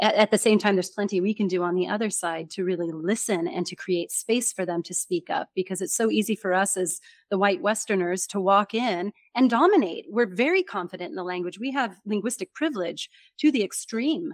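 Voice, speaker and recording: A woman's fairly quick, enthusiastic delivery in a General American accent, medium pitch and lively intonation, on a very clean recording with a silent background and a dry, close sound with no echo. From California. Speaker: communication coach and author. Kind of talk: interview.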